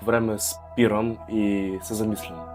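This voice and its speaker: A man with a Russian accent speaks at a fairly slow pace with music in the background. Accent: Russian accent in Bulgarian. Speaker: vlogger, university student. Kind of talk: casual talk to camera.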